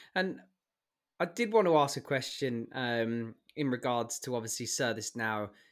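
Recorded very cleanly against a silent background, a man with a plain, everyday voice speaks at a moderate pace in a medium pitch. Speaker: podcast co-host. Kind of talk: podcast interview.

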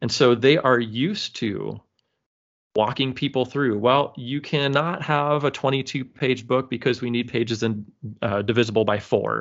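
An unremarkable speaking voice from a man, medium in pitch, at a moderate pace with ordinary pitch variation. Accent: American. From California. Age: 40s. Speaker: comics creator and university teacher. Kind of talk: casual interview.

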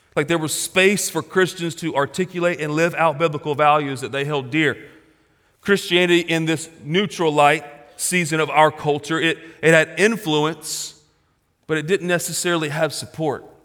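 A man with a normal speaking voice, fairly high pitch, fairly even intonation and moderate pace. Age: 40s. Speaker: pastor. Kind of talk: sermon. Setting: church.

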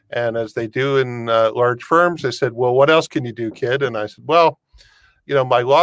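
A man with a Canadian accent talks in a plain, everyday voice at medium pitch and moderate pace with fairly even intonation, the sound dry and close with no echo on a very clean recording with a silent background. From Canada, Windsor Ontario. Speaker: immigration and tax advisor. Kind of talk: interview on a live stream.

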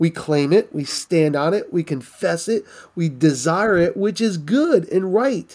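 A man with a high pitch talks at a fairly slow pace. His intonation is lively, and the recording is very clean with a silent background. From New England, US. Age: 50s. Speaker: pastor and author. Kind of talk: interview testimony.

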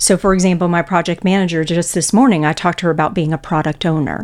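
A woman with an American accent speaks in an unremarkable speaking voice, fairly low in pitch, with ordinary pitch variation. The recording is very clean, with a silent background. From Texas. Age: 50s. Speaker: bank executive. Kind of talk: interview.

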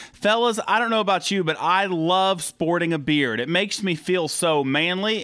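A man talks at a moderate pace with hardly any pauses. His pitch is high. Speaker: podcast host interviewer. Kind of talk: interview.

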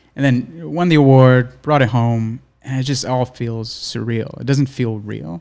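Speaking at a fairly slow pace with hardly any pauses, a man uses a medium pitch and ordinary pitch variation. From New York City (Brooklyn). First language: Spanish. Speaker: cinematographer. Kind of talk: casual podcast interview.

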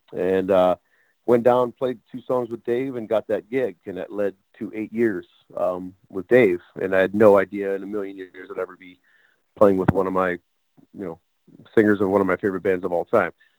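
Using an ordinary speaking voice, a man talks at a moderate pace and fairly low pitch with fairly even intonation and big swings in loudness, the sound dry and close with no echo. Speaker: drummer. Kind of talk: casual interview.

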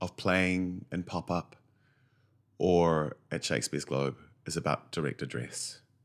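With a New Zealand accent, a man speaks at a fairly slow pace with a very deep, low pitch, ordinary pitch variation, and long, frequent pauses. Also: very clean recording, silent background. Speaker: actor. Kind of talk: interview.

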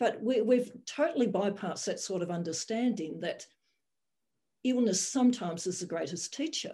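Somewhat breathy and dark, mellow in tone, a woman at medium pitch talks at a moderate pace with lively intonation. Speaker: general practitioner. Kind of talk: roundtable discussion.

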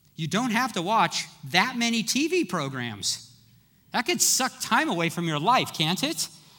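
An animated, raised and projected voice delivers the words at a fairly slow pace. Its pitch swings very widely. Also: man, high pitch for a man. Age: 50s. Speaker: pastor. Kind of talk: sermon.

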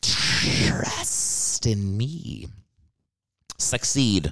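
A man puts on a character voice pitched fairly low. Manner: hypnotic, persuasive.

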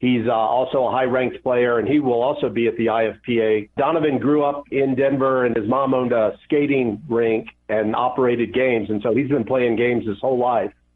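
A man's unremarkable speaking voice at a fairly quick pace, with hardly any pauses, very even loudness, and fairly even intonation. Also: medium pitch for a man. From Atlanta, US South. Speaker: competitive pinball player. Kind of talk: interview.

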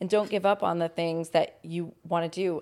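A woman's dark, mellow voice at a fairly low pitch, fairly slow and fairly even in intonation, on a very clean recording with a silent background. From Long Island, New York, then North Carolina from age ten. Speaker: fitness trainer and nonprofit worker. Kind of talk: casual interview, life story. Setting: home living room with dogs.

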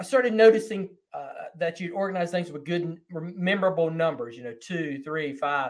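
Lively intonation at a fairly quick pace. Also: man. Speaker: podcast host. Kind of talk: interview.

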